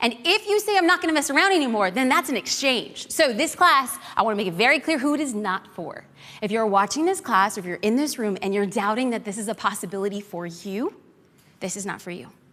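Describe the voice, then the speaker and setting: A very fast, animated delivery with very wide pitch swings over noticeable background noise. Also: woman, fairly high pitch for a woman. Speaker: social media marketing instructor. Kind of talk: live class lecture. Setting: stage with audience.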